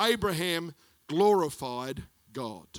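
A man with an Australian accent projects a raised voice with a bright, sharp tone. His pitch swings very widely. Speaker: pastor. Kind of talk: sermon. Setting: church.

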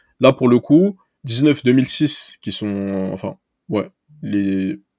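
At a very slow pace, a man with a medium pitch and lively intonation speaks in a dry, close sound with no echo on a very clean recording with a silent background. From Paris region, Seine-Saint-Denis. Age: 20s. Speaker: amateur football scout. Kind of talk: casual interview.

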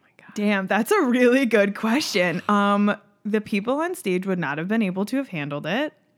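At a moderate pace, a woman with an American accent speaks in a plain, everyday voice at medium pitch, with lively intonation and big swings in loudness. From upstate New York. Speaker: comedian. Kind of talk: casual chat.

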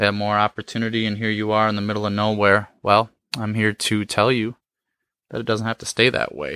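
In a very clean recording with a silent background, a man with a fairly low pitch and a bright, sharp tone speaks in a monotone, flat intonation with a dry, close sound and no echo. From Michigan, small town near Flint. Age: 30s. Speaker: podcast host. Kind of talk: solo podcast monologue. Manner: casual with frequent fillers.

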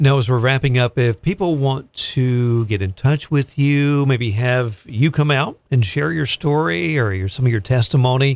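In an ordinary speaking voice, a man with a medium pitch speaks at a moderate pace with lively intonation. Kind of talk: radio interview. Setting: radio studio.

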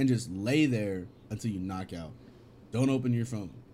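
A man's dark, mellow voice at a medium pitch and moderate pace, with ordinary pitch variation. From California. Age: 20s. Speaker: podcast co-host, streamer manager. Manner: joking, casual.

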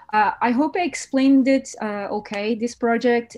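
A woman's fairly high voice with a Portuguese accent, fairly even intonation, moderate pace. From Portugal. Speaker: brand designer and art director. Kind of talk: interview. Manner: halting.

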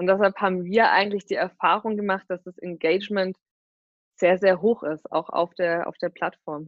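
A woman with medium pitch speaks in an ordinary speaking voice at a moderate pace, with fairly even intonation. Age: 20s. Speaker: startup marketing executive. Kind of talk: interview. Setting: video call. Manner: frequent fillers (ähm, äh).

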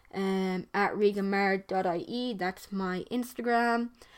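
A woman speaks with an Irish accent. Her intonation is monotone and flat. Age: young. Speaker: podcast host. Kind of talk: solo monologue. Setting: bedroom. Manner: casual, hesitant.

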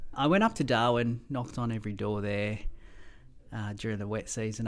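This man has an Australian accent and a fairly low pitch. He talks at a moderate pace. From Mauritius, then Melbourne from age ten. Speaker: pilot. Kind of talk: interview.

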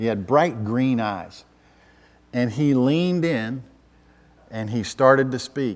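The speaker has a Southern US accent and talks at a very slow pace with long, frequent pauses and ordinary pitch variation. The recording is very clean, with a silent background. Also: man, medium pitch for a man. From US South, Atlanta, Georgia. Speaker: pastor. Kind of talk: sermon.

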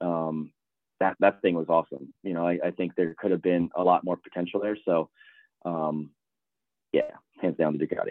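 Very deep and low in pitch, a man speaks in a flat monotone with long, frequent pauses. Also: moderate pace. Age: 30s. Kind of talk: casual chat.

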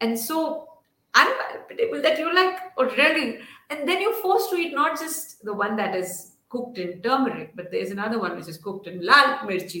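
A woman's high voice at a moderate pace, with very wide pitch swings, big swings in loudness and audible room echo. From Kashmir, Srinagar; later Delhi. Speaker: author. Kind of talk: interview. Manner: hesitant, many fillers.

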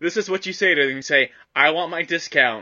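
Using a plain, everyday voice, a man speaks at a moderate pace. His pitch variation is ordinary. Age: 20s. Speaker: podcast co-host. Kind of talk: casual chat.

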